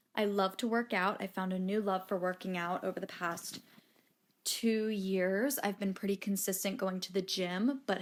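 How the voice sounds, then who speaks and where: A woman with an unremarkable speaking voice and medium pitch speaks at a fairly slow pace on a very clean recording with a silent background. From Maryland. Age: 20s. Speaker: podcast host. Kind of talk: podcast monologue. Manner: casual, chatty.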